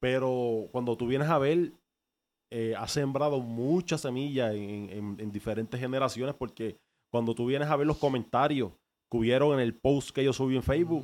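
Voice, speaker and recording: On a very clean recording with a silent background, a man in a normal speaking voice talks at a moderate pace, with medium pitch and ordinary pitch variation. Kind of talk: casual interview.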